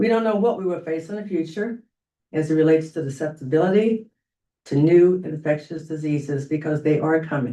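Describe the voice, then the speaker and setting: A woman's dark, mellow voice, very deep and low in pitch, with ordinary pitch variation and a fairly quick pace. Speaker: public commenter at board meeting. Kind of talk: prepared public comment. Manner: loud.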